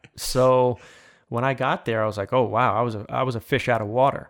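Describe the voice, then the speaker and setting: In a very clean recording with a silent background, a man with an American accent speaks in a normal speaking voice at a medium pitch. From Long Island, New York. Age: 40s. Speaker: former professional baseball player. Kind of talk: interview.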